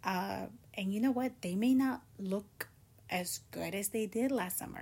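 Very slow, somewhat breathy speech from a woman at medium pitch. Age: 20s. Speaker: podcast host. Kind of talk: solo casual talk. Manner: casual, conversational.

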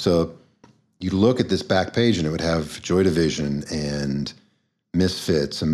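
A man speaks in a very deep, low voice. His pace is fairly slow, with ordinary pitch variation. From Kentucky, small town south of Louisville. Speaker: punk musician. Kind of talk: casual interview. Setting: remote call.

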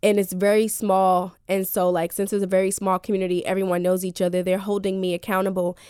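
On a very clean recording with a silent background, a woman with a New Jersey accent talks very fast with hardly any pauses, at a medium pitch in a dark, mellow tone, her intonation monotone and flat and her loudness very even. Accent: New Jersey American. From New Jersey (Elizabeth, near Newark). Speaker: mental health advocate and podcaster. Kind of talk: radio interview, personal testimony.

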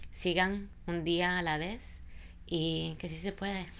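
A woman's fairly low voice carries audible room echo. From Honduras. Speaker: immigration lawyer. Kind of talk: interview, personal story.

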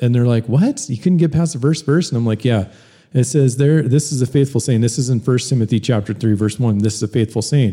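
A somewhat breathy, dark, mellow voice at a fairly quick pace, with ordinary pitch variation. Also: man, medium pitch for a man. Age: 40s. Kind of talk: casual chat.

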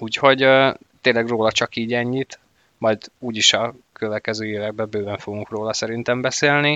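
With a medium pitch and a monotone, flat intonation, a man speaks at a moderate pace. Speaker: hockey podcast host. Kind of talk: casual chat.

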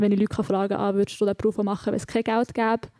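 Dark and mellow in tone, a woman speaks at a medium pitch in a monotone, flat intonation, with a dry, close sound and no echo. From Switzerland, rural. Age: 20s. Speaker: author and literature student. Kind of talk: panel discussion.

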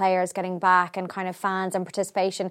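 A woman speaks with an Irish accent. Her pitch sits in the medium range. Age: 30s. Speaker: podcast host. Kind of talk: interview.

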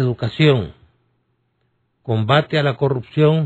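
A man's somewhat breathy, medium-pitched voice at a very slow pace, with ordinary pitch variation. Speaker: political analyst and lawyer. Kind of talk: radio interview.

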